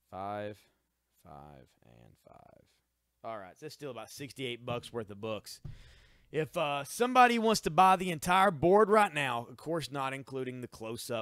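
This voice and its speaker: A man at a moderate pace, with very wide pitch swings and a dry, close sound with no echo. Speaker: comic shop seller. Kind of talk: live sales stream. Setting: livestream.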